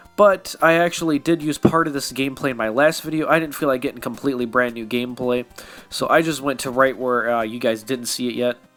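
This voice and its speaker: The speaker talks at a very fast pace with ordinary pitch variation. Music plays in the background. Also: man, medium pitch for a man. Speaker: app tutorial youtuber. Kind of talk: tutorial. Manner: casual, conversational.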